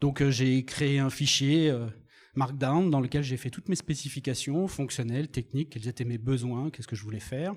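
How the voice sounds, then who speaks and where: At a moderate pace, a man talks in a somewhat breathy voice pitched fairly high. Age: 50s. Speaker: software developer and conference speaker. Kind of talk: conference talk. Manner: animated.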